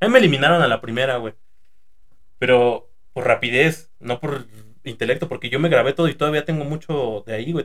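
A man's fairly high voice at a very fast pace. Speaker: podcast host, former fast food worker. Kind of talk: casual chat.

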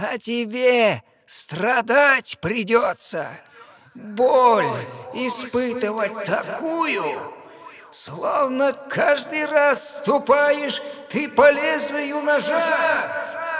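A man puts on a character voice pitched extremely high. He speaks at a very slow pace. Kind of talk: fairy-tale audio play acting. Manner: mocking, gloating.

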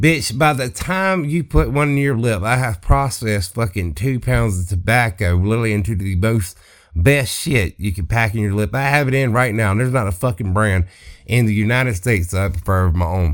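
Here a man talks with a Mississippi accent in a fairly low voice. His tone is animated. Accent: Mississippi Southern drawl. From US South, Southeast Mississippi. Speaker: comedy podcaster. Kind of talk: comedic rant monologue.

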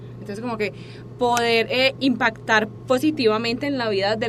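Noticeable background noise sits behind this recording. Speaking at a moderate pace, a woman uses ordinary pitch variation. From Colombia, Medellín. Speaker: fitness student and psychopedagogue. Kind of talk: interview. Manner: halting, many repetitions and fillers.

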